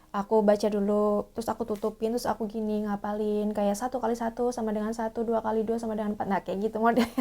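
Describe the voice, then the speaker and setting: A shrill, fairly high-pitched woman at a very fast pace, in a monotone, flat intonation. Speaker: theatre actor. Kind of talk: tutorial. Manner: casual, hesitant with fillers.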